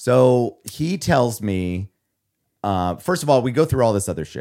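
A man speaks with a Midwestern American accent in a very clean recording with a silent background. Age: 30s. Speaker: podcast co-host. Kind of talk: casual chat.

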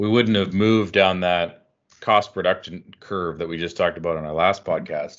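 At a moderate pace, a man with an ordinary speaking voice and a Canadian accent talks in a fairly low pitch with fairly even intonation. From Canada. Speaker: energy podcast host. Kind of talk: casual chat.

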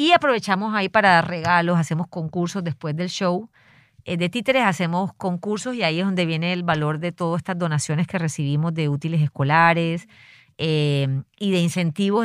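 A woman speaks at a moderate pace with a Caribbean Colombian accent, her pitch fairly low. The sound is dry and close with no echo, on a very clean recording over a silent background. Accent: Colombian Caribbean coastal (costeño). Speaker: conservation foundation director. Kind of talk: field interview. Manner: animated; hesitant, many fillers.

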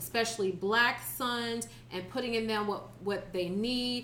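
A woman's fairly high voice in a Southern US accent, with ordinary pitch variation at a fairly slow pace. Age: 30s. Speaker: podcast co-host. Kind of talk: casual chat.

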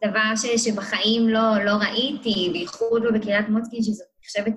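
A woman's fairly high-pitched voice with monotone, flat intonation. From Israel, Kiryat Motzkin. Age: 20s. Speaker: social work student. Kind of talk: interview.

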